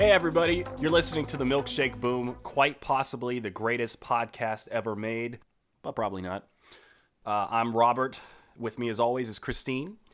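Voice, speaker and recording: With music playing in the background, a man speaks at a moderate pace. His pitch is medium, with ordinary variation. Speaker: podcast host. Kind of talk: casual chat.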